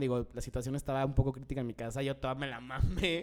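A plain, everyday voice at a fairly quick pace. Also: man. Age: 20s. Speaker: podcast co-host. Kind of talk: casual chat.

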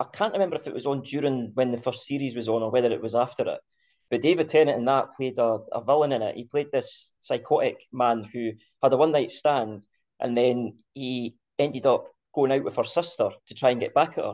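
The speaker has a Scottish accent, a fairly quick pace and ordinary pitch variation. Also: man, fairly high pitch for a man. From Scotland. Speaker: podcast host. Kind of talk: casual chat.

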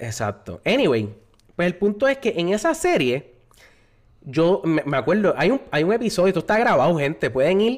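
On a very clean recording with a silent background, a man talks at a moderate pace in a high pitch. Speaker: podcast host. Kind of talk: casual chat. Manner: animated.

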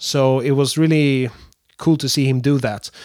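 This man talks at a moderate pace with a fairly high pitch and fairly even intonation, on a very clean recording with a silent background. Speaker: animator and game developer. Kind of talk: solo production update podcast. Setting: standing with wireless handheld mic. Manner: unscripted, halting with fillers.

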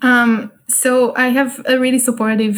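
A woman with an Israeli accent speaks in a somewhat breathy voice. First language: Hebrew. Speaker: solo traveler and entrepreneur. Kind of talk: casual interview. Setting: remote call. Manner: hesitant, many fillers.

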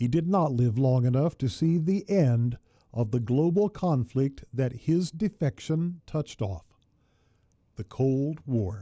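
Against a quiet background, a man speaks at a very slow pace with a medium pitch and lively intonation. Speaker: radio host. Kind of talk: history documentary narration. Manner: formal; measured, even-paced.

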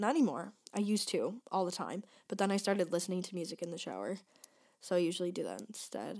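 At a very fast pace, a woman talks with medium pitch. Her pitch variation is ordinary. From Michigan. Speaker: podcast host, college student. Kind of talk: casual solo chat. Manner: fast, chatty with fillers.

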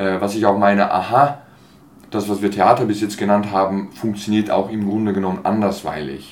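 Fairly even intonation runs through this speech at a moderate pace. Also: man, fairly low pitch for a man. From Switzerland, Basel (from age 11 to 23). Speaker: actor and theatre artist. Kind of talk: interview. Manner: hesitant, many fillers.

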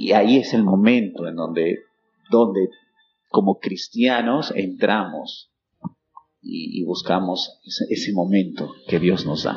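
A man talks very slowly, with long pauses coming often. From Peru, Huánuco. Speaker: language school director. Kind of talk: interview.

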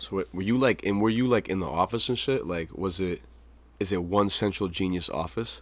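Fairly low in pitch, a man talks at a fairly quick pace with ordinary pitch variation in a very clean recording with a silent background. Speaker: podcast host. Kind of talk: casual chat. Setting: home studio. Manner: animated.

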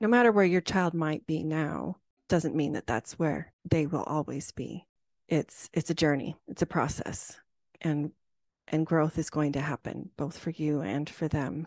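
Recorded with a dry, close sound with no echo, a woman with a very deep, low pitch and vocal fry talks at a fairly slow pace. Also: ordinary pitch variation, quiet background. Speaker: podcast host and life coach. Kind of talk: interview conversation.

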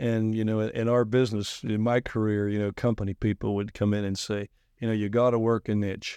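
A man with an American accent talks fairly quickly at a fairly low pitch, his tone dark and mellow and his intonation monotone and flat. The sound is dry and close with no echo, over a quiet background. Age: 60s. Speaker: insurance agency president. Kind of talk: interview. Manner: halting, many fillers.

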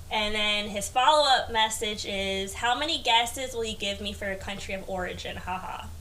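A woman with an American accent and a fairly high voice speaks at a moderate pace with hardly any pauses and ordinary pitch variation, with audible room echo and noticeable background noise. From US, Queens, New York. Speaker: podcast guest. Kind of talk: casual chat. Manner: soft-spoken.

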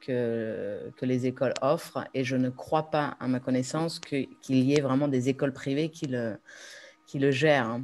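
With a very deep, low pitch, a woman speaks at a fairly slow pace and keeps her intonation fairly even. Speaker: expat parent, participant. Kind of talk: live webinar Q&A.

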